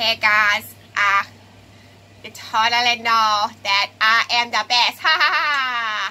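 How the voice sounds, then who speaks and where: A put-on character voice, female-sounding, fairly high for a woman, at a very slow pace. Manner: boastful, cocky.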